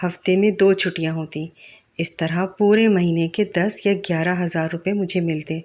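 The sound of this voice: At a moderate pace, a woman with a fairly low pitch speaks in a slightly mellow tone and fairly even intonation.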